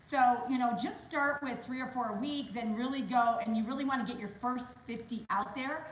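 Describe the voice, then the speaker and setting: A loud, high-pitched woman's voice with ordinary pitch variation, noticeable background noise and audible room echo. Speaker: real estate agent. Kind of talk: interview on a webinar. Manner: animated.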